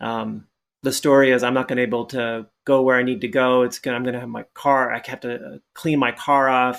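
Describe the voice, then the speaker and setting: In a normal speaking voice, a man talks at a medium pitch and a moderate pace with fairly even intonation. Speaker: Zen monk, coach and author. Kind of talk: podcast interview answer, explanatory conversational talk. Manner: thoughtful, conversational with filler words.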